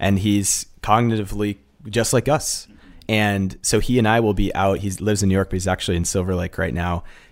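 A man with an American accent, an ordinary speaking voice, fairly low pitch, fairly even intonation and a fairly quick pace, in a very clean recording with a silent background. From Massachusetts. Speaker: film director. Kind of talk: casual interview.

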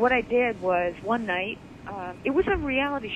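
A woman with an American accent speaks at a fairly high pitch with very wide pitch swings. Noticeable background noise is present. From Michigan, Detroit area. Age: 50s. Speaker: fitness presenter and author. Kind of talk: casual chat. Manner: animated.

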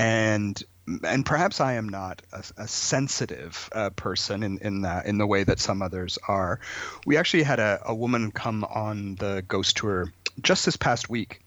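A man in a Canadian accent at a moderate pace with fairly low pitch. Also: ordinary pitch variation. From southern Ontario, Canada (Brantford). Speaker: folklorist and storyteller. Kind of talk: radio interview. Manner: hesitant, many fillers and repeated words.

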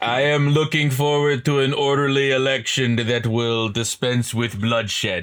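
A put-on character voice with a slight Russian accent, a moderate pace, hardly any pauses and light background noise. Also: man, medium pitch for a man. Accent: slightly Russian. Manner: pompous, formal.

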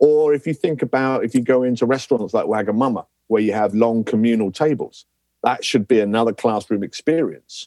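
In a southern English accent, a man with a dark, mellow tone talks at a fairly quick pace in a dry, close sound with no echo. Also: medium pitch for a man, ordinary pitch variation. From southern England. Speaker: lecturer. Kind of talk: interview. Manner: energetic.

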